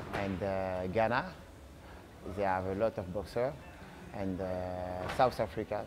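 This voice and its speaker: Faint music plays in the background as a man with a French accent speaks at a fairly slow pace and a fairly low pitch. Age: 30s. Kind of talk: interview. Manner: halting. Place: gym. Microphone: lapel.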